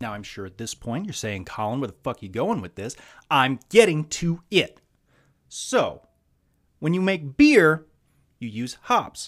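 On a very clean recording with a silent background, a man with an American accent and a fairly high pitch uses very wide pitch swings, big swings in loudness, and long, frequent pauses. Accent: slight Southern US, sounds Midwestern. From US South. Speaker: podcast host. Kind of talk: casual monologue, podcast intro with profanity. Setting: solo podcast recording. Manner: rambling, candid, self-deprecating.

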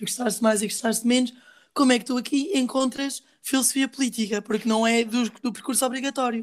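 A woman speaks at a moderate pace in a high voice, her intonation fairly even. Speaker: student podcast host. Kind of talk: casual interview.

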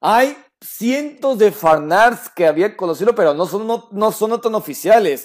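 Lively intonation at a fairly slow pace. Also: man. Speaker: podcast host. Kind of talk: casual chat.

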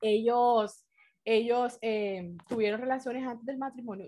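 A woman's fairly high, unremarkable speaking voice at a fairly slow pace, on a very clean recording with a silent background. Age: 20s. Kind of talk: casual faith-based talk with teen girls.

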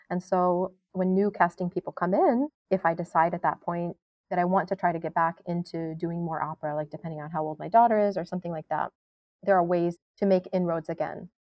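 This is a plain, everyday voice at a fairly quick pace. The intonation is fairly even. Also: woman, fairly low pitch for a woman. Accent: American. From New York State. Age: 30s. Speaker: opera singer. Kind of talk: interview.

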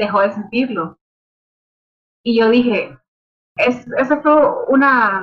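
Delivered at a very slow pace with long, frequent pauses, the speech has ordinary pitch variation and very even loudness. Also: woman, high pitch for a woman. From Nicaragua. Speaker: music publicist and artist manager. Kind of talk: interview. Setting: video call from home.

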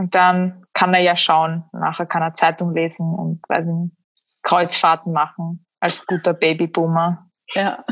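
A woman with a Slovak accent speaks at a very slow pace. Her fairly low voice stays monotone and flat. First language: Slovak (speaking German). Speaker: writer and essayist. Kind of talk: casual interview chat.

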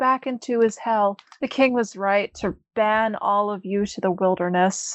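An unforced voice reading aloud, its pitch shifting in ordinary fashion

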